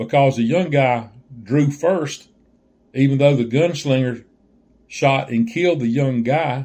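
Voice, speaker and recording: A man with a Southern US accent speaks fairly slowly at a medium pitch, using ordinary pitch variation. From Southern US (Georgia). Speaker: joke teller. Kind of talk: casual talk to camera.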